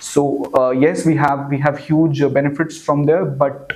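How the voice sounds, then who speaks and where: With noticeable background noise around him, a man speaks at a fairly quick pace in a fairly high pitch. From Jammu region, India (Hiranagar, Kathua). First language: Hindi. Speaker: civil services candidate. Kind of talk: mock job interview. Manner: halting, many fillers; formal.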